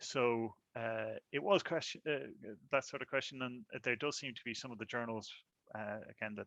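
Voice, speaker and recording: The sound is dry and close with no echo as a man speaks at a medium pitch. His tone is bright and sharp, with ordinary pitch variation. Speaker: breakout group rapporteur at research conference. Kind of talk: summary report in online workshop. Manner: fast.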